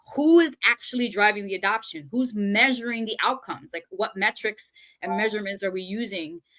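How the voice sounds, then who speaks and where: A woman's fairly high-pitched voice at a fairly quick pace. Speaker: project management consultant. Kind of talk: casual chat. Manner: fast.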